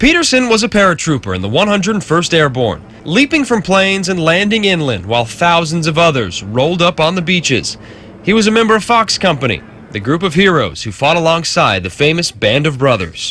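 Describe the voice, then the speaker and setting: Over noticeable background noise, a man speaks fairly quickly in a high pitch, with very wide pitch swings. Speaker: TV news reporter. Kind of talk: TV news report narration.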